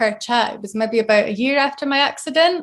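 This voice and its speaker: A woman speaks at a moderate pace with a Scottish accent and a high pitch, on a very clean recording with a silent background. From northeast Scotland, Arbroath. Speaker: brain injury survivor, blogger. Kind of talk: interview.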